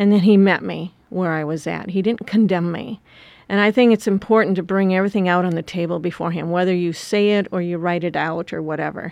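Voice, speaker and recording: In an American accent, a woman speaks with an ordinary speaking voice at a medium pitch. Her intonation stays fairly even and her pace is fairly quick. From US Midwest, rural Wisconsin. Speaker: missionary leader. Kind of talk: interview.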